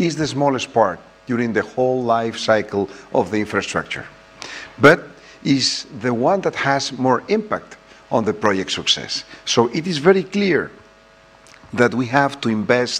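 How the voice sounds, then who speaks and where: Over noticeable background noise, a man speaks at a medium pitch and fairly slow pace, with very wide pitch swings and long, frequent pauses. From Spain. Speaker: president of an engineering federation. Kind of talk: conference presentation.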